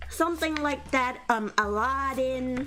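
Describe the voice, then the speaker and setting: A woman with a high pitch speaks fairly slowly with ordinary pitch variation against noticeable background noise. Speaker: VTuber streamer. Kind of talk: casual chat. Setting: live stream.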